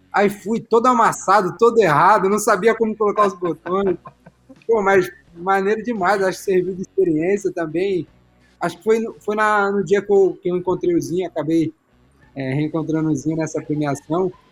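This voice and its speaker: With music in the background, a man speaks at a high pitch and a moderate pace, using ordinary pitch variation. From Brazil, São Paulo state. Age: 20s. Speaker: professional footballer. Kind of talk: casual chat.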